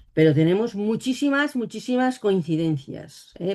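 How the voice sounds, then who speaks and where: Woman's dark, mellow tone with very wide pitch swings at a fairly quick pace. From Spain, Catalonia (Barcelona). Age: 60s. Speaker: psychic and author. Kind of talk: interview.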